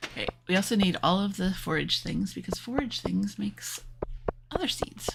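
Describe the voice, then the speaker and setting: The speech moves at a moderate pace. Noticeable background noise sits behind it. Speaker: gaming streamer. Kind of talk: live gameplay stream commentary. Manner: yawning.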